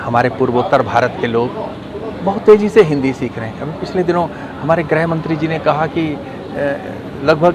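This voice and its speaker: A man with a non-native accent and fairly high pitch, plus audible room echo and noticeable background noise. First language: not Hindi (speaking Hindi). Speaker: Hindi language activist. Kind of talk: interview statement.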